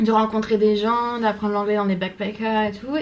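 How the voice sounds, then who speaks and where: A woman's voice carries audible room echo. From France. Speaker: vlogger. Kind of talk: casual vlog monologue. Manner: hesitant, many fillers.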